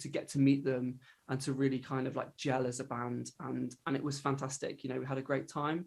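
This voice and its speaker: A man speaks fairly quickly in a West Country accent, his voice fairly high and somewhat breathy. His intonation is monotone and flat. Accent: southern English, West Country. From England, Devon. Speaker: countertenor singer. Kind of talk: interview answer. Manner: casual, hesitant with fillers.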